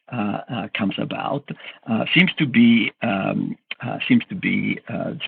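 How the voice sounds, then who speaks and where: A man with a strong Italian accent at a very slow pace. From Italy. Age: 70s. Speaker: cognitive scientist, professor. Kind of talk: interview. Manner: halting, many fillers.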